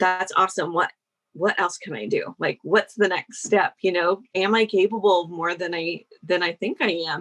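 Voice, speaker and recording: A woman with an American accent speaks at a moderate pace and medium pitch, with ordinary pitch variation and a dry, close sound with no echo. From US Midwest, Iowa. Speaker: sales copywriter. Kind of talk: podcast interview.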